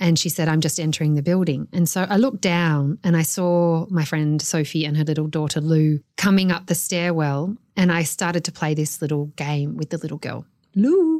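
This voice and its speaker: Speaking with an Australian accent, a woman uses a fairly low pitch and fairly even intonation at a moderate pace. The recording is very clean, with a silent background. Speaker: author. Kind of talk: personal storytelling interview.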